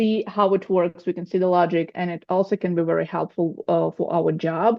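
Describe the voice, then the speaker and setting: A woman with a Russian accent speaks at a moderate pace and medium pitch, her intonation fairly even. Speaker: coaching student preparing for exam. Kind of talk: group video call feedback. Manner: halting, with false starts.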